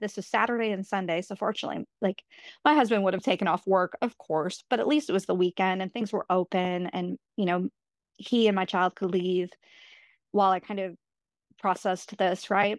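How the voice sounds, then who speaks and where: A woman with an American accent uses a normal speaking voice at a medium pitch and a moderate pace, with fairly even intonation. The sound is dry and close, with no echo. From New York. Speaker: guest sharing pregnancy loss story. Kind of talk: personal testimony in casual interview. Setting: remote call.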